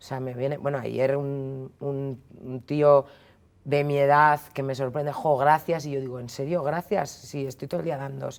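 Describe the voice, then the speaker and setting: Here a woman speaks with a very deep, low pitch. Her pace is fairly slow. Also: big swings in loudness. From Spain, Basque Country (Basauri, Biscay). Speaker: feminist commentator. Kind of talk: interview. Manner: casual, animated.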